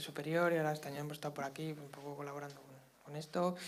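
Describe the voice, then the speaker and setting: A man talks at a very fast pace with a fairly high pitch. His intonation is monotone and flat, and audible room echo surrounds the voice. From Zaragoza, Spain. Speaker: wind musician. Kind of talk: interview. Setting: auditorium with live audience.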